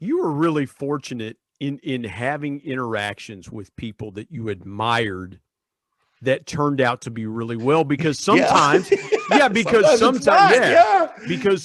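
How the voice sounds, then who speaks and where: A man with an American accent talks fairly quickly at a fairly high pitch. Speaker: podcast host. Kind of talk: podcast interview.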